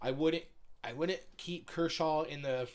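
The recording is very clean, over a silent background. An ordinary speaking voice keeps a moderate pace, its pitch varying in an ordinary way. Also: man. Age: 40s. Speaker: comedian and videographer. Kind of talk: casual chat.

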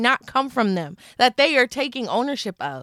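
A raised, projected voice with a bright, sharp tone, at a moderate pace, in a dry, close sound with no echo. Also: woman. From Philadelphia. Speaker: podcast co-host. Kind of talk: casual chat. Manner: laughs often.

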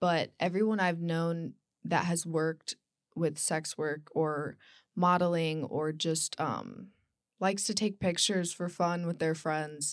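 Heard on a very clean recording with a silent background, a woman with a normal speaking voice talks at a fairly slow pace and a fairly low pitch. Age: 20s. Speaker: online adult content creator and student. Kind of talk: casual chat.

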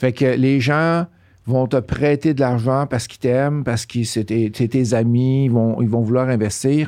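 A man with a Quebec accent, medium pitch and fairly even intonation, speaking at a fairly slow pace against a quiet background. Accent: Québécois French. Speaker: real estate coach. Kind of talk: podcast interview.

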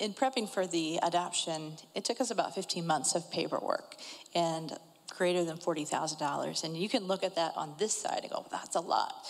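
A woman's ordinary speaking voice, fairly low in pitch, with ordinary pitch variation at a moderate pace. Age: 40s. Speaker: adoptive mother. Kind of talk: testimony.

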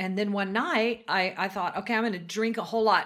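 A woman with an American accent has a normal speaking voice at medium pitch. She talks at a fairly quick pace with fairly even intonation. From US. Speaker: ministry leader, former singer. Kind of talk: testimony.

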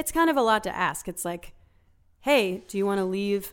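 A normal speaking voice comes through with an American accent and ordinary pitch variation. The recording is very clean, with a silent background. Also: woman. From Philadelphia. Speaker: singer-songwriter. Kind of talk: casual chat. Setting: studio.

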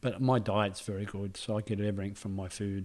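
This man speaks in an Australian accent at a moderate pace, his pitch fairly low and his tone dark and mellow. The recording is very clean with a silent background. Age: 60s. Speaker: personal trainer, former footballer. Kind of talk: casual interview.

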